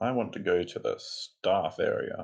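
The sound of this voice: Low-pitched with vocal fry, a man talks at a fairly slow pace in a slightly mellow tone with ordinary pitch variation.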